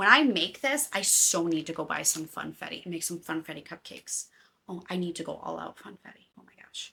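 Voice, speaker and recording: A woman's put-on character voice, raspy and fairly low in pitch, fairly quick, with big swings in loudness. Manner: excited; very fast speaking.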